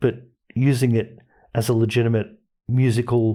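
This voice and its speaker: In a very clean recording with a silent background, a man speaks at a moderate pace in a somewhat breathy voice of medium pitch. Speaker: podcast host. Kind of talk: casual chat.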